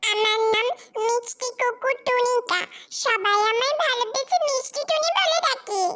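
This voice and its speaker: In a cartoonish character voice, a woman speaks fairly slowly at an extremely high pitch. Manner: cheerful, friendly.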